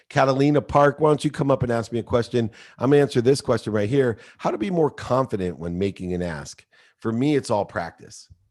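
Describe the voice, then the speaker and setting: Against a quiet background, speech flies by at a very fast pace with lively intonation. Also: man, medium pitch for a man. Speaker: business coach. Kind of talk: live coaching session.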